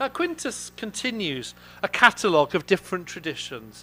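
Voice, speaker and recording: A man speaks with very wide pitch swings while music plays in the background. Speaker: classics professor. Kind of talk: academic conference lecture. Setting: auditorium with audience. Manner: fast; halting, with fillers.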